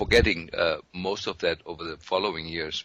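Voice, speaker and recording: With a German accent, a man speaks. He keeps a moderate pace. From Germany. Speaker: physician. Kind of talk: interview.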